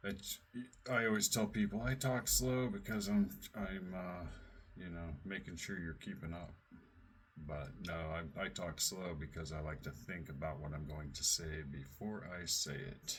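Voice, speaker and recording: A man with a very deep, low pitch and vocal fry speaks at a fairly slow pace with lively intonation. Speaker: radio show host and researcher. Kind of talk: casual chat. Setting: live radio show linked by call.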